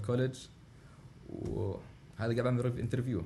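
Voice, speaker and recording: A man with an Arabic accent, with audible room echo. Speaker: international student. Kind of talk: interview. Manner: halting.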